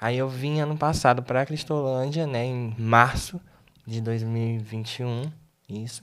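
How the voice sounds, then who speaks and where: A man speaks in a normal speaking voice at medium pitch, fairly slowly and with fairly even intonation. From Tocantins, Brazil. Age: 20s. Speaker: missionary. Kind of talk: interview testimony.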